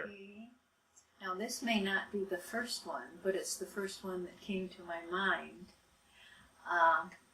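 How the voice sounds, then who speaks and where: Over noticeable background noise, a woman with an Upper Midwest accent talks at a very slow pace and medium pitch, her intonation fairly even. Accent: Upper Midwest American. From rural Wisconsin, USA. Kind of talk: interview answer.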